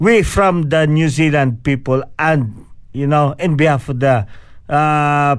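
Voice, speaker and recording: A man's fairly high voice at a fairly slow pace, against a quiet background. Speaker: community radio host. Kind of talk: casual radio chat. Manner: animated.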